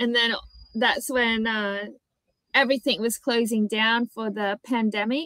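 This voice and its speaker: A woman talks with an Australian accent and fairly even intonation. The sound is dry and close, with no echo. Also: fairly high pitch for a woman, fairly slow pace. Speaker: conversation partner on language app. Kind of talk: casual chat.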